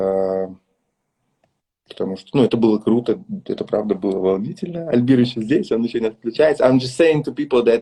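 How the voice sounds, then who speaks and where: A man's medium pitch and dark, mellow tone with a Russian accent, at a moderate pace. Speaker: dance event organizer and live stream host. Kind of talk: live interview chat. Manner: halting.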